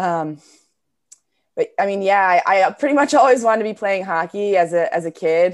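In an American accent, a woman with an unremarkable speaking voice and medium pitch talks at a moderate pace with lively intonation against a quiet background. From New Jersey, US. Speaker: professional hockey player and coach. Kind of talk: interview.

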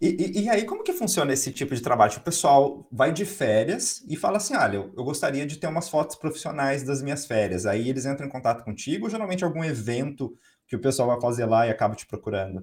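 Talking at a very fast pace, this man has a fairly high voice that swings very widely in pitch and sounds somewhat breathy. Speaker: podcast host. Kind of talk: interview. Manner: animated.

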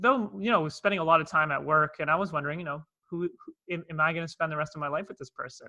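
Bright and sharp in tone, a man's fairly high voice races at a very fast pace with ordinary pitch variation. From Toronto, Canada. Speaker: speaker and transformation coach. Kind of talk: casual interview, storytelling. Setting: video call.

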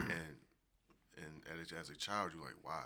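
A bright, sharp voice with an American accent and vocal fry speaks at a moderate pace amid audible room echo. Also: man. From US Northeast, Philadelphia. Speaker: podcast guest. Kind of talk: casual chat.

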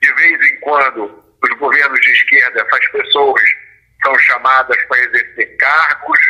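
A man at a fairly slow pace, his loudness very even. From Brazil, Rio de Janeiro. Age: 50s. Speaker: author and former state security secretary. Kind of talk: interview.

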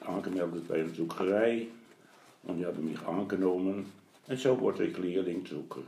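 A man speaks with a very deep, low pitch and ordinary pitch variation. His pace is moderate, with audible room echo. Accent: Dutch. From Netherlands. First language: Dutch (speaking German). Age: 80s+. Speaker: grandfather, retired printer. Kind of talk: interview. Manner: halting.

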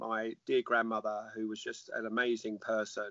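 A man with a London accent speaks at a moderate pace. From North London, England. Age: 50s. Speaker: army chaplain and former infantry officer. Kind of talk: interview. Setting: online call.

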